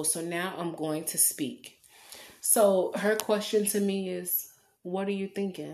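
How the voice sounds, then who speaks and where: A woman talks at a fairly slow pace in a plain, everyday voice. Her intonation stays fairly even. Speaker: podcaster. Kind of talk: testimony.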